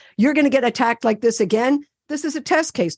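Speaking in a Canadian accent with a high pitch, a woman talks at a fairly quick pace in an animated tone and lively intonation, her voice dry and close with no echo over a quiet background. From Ontario, Canada. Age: 60s. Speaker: activist and therapist. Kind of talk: interview conversation.

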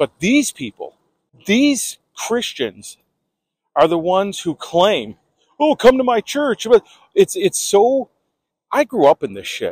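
A man with a high voice talks very slowly, stopping often for long pauses as his pitch swings very widely. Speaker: podcast host. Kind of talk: angry rant, unscripted monologue with heavy swearing. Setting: outdoors, recording while walking. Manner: fired-up, indignant, emphatic, confrontational.

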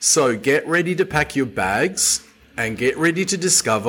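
A man speaks with lively intonation. He has an Australian accent. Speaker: tour operator and podcast host. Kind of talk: podcast monologue. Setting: home office. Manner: chatty.

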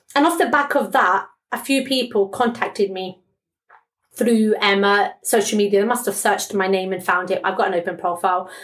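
A woman with a British accent, fairly quick pace, and ordinary pitch variation. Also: medium pitch for a woman. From England. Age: 30s. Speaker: breast cancer survivor and charity campaigner. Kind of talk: interview testimony.

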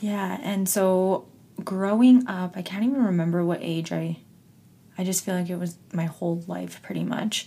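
A woman with a Canadian accent speaks at a medium pitch with ordinary variation. Her pace is moderate, and background noise is noticeable. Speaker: podcast host. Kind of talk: casual chat. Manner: laughs often.

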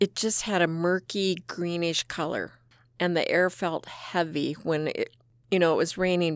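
A woman talks fairly slowly in a fairly low pitch with monotone, flat intonation. The recording is very clean, with a silent background. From South Dakota, Rapid City. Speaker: nurse practitioner recounting flood memories. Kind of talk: oral history interview.

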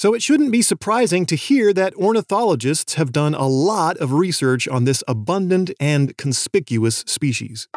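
With an American accent, a man speaks in a fairly high pitch at a fairly slow pace. His intonation is lively, and the sound is dry and close with no echo. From US West Coast. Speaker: podcast host, birder and science educator. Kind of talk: scripted narration.

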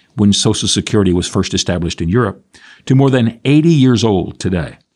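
Lively intonation from a man at medium pitch over a quiet background. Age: 60s. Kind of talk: radio reflection talk.

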